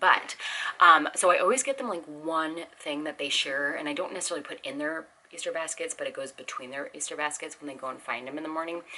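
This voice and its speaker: A woman talks quietly at a very fast pace, her pitch very deep and low with ordinary variation. Her tone is animated, with noticeable background noise behind her. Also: big swings in loudness. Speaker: homeschooling parent vlogger. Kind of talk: casual haul video. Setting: home.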